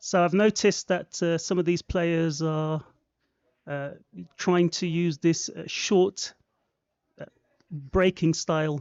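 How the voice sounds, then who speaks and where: In a London accent, the speaker goes at a very slow pace with long, frequent pauses. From London, England. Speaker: guest pool commentator. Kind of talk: live commentary.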